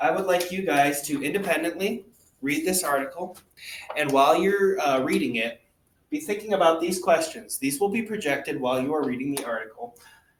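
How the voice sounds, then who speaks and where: This man talks fairly quickly in a high-pitched voice with lively intonation. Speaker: teacher. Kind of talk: tutorial. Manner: fast.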